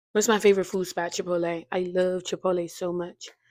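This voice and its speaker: In a very clean recording with a silent background, a woman speaks at a medium pitch with monotone, flat intonation. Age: 20s. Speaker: lifestyle vlogger and college student. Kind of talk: casual Q&A monologue. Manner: fast.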